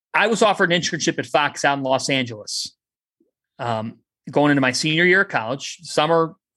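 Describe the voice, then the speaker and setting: A man with a Cleveland accent talks at a fairly quick pace in a fairly high pitch over a quiet background. His intonation is lively, and his tone is passionate, energetic, bright and sharp. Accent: Cleveland, Ohio. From Westlake, Ohio (Cleveland). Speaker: sports broadcaster and sideline reporter. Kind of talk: interview, passionate sports talk. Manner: passionate, energetic, animated.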